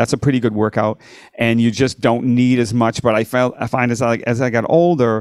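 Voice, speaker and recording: At a fairly quick pace, a man with a plain, everyday voice speaks at medium pitch with fairly even intonation and very even loudness, in a dry, close sound with no echo. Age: 60s. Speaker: rock and blues guitarist. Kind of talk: podcast interview.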